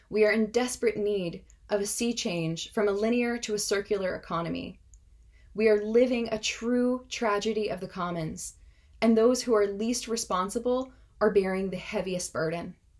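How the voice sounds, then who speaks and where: A woman speaks at a moderate pace with a fairly high pitch and fairly even intonation. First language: Russian. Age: 20s. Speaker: invited speaker, young activist. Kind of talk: prepared speech. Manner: formal.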